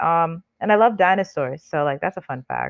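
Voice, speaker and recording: A woman speaks with a New York accent. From Staten Island, New York. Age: 20s. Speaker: arts director and art therapist. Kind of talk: podcast interview. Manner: casual, filler-heavy.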